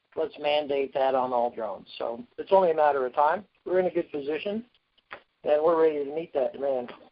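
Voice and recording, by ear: Speaking at a fairly quick pace, a man uses a fairly high pitch with ordinary pitch variation.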